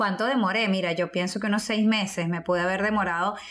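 A normal speaking voice at a fairly quick pace, with fairly even intonation. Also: woman. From Venezuela. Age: 40s. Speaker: teacher and fitness podcast co-host. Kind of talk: casual chat.

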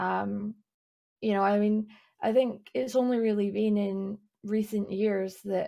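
In a Scottish accent, a woman speaks at medium pitch in a dark, mellow tone with monotone, flat intonation, on a very clean recording with a silent background. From east Scotland, near Edinburgh. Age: 20s. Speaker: streamer and illustrator, PhD student. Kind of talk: casual interview chat.

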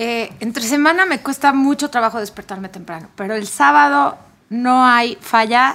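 A woman speaks at a moderate pace in a fairly high pitch. Her tone is bright and sharp, with very wide swings in pitch. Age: 40s. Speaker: podcast co-host. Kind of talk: casual chat.

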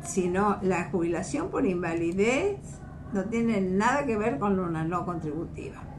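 A woman's pitch varies in an ordinary way while noticeable background noise sounds behind her. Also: medium pitch for a woman, fairly slow pace. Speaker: social security lawyer. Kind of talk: radio call-in advice. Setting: radio studio.

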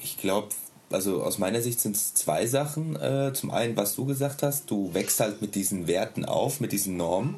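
This man talks at a moderate pace with lively intonation. There is noticeable background noise. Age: 30s. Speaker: stay-at-home father and hobby musician. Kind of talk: casual interview.

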